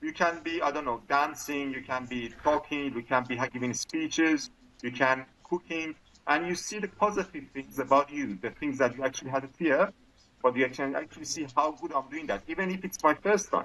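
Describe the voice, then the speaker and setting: With a non-native accent, a man talks at a fairly quick pace in a fairly high voice with a bright, sharp tone and ordinary pitch variation. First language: not English. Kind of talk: casual chat. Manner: halting.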